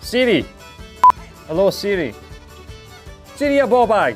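The speaker has a strong Scottish accent and lively intonation. Clear music plays in the background. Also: man. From Scotland. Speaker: tech reviewer. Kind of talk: casual talk to camera. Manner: cheeky, irreverent. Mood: wry, exasperated humor. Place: studio. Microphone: lapel.

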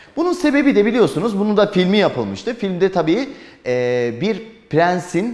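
An animated man's voice swings very widely in pitch. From Turkey. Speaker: history teacher for exam prep. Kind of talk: lecture. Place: classroom.

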